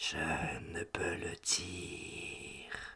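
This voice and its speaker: A man whispers in a put-on character voice. Hissing runs through his delivery. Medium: read story. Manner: flat, terse, evasive.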